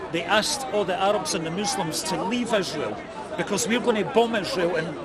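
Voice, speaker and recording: With a Scottish accent, a man speaks at high pitch with ordinary pitch variation, in audible room echo with crowd noise in the background. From Scotland. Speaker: street debater. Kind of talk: heated debate.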